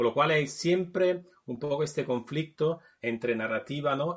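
A man talks at a fairly slow pace with an Italian accent. His intonation is lively. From Naples, Italy. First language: Italian (speaking Spanish). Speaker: video game developer. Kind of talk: casual chat.

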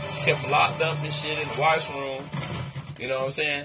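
Amid noticeable background noise and audible room echo, a man talks fairly quickly at a fairly high pitch in a monotone, flat intonation. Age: 50s. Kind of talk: casual chat.

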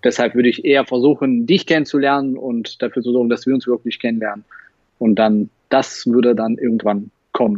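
A man's medium-pitched voice in a Russian accent, fairly quick in pace, with fairly even intonation and big swings in loudness. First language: Russian (speaking German). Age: 30s. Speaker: magician and YouTuber. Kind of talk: casual interview. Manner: hesitant, many fillers.

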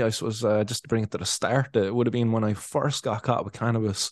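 A man speaks with a Cork accent. He talks very fast. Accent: Cork Irish. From Ireland, Cork. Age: 30s. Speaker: cannabis activist and podcaster. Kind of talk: casual interview chat.

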